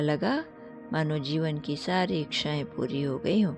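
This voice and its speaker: A soft-spoken woman with music in the background. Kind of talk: sleep story. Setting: background music. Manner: soft-spoken, meditative.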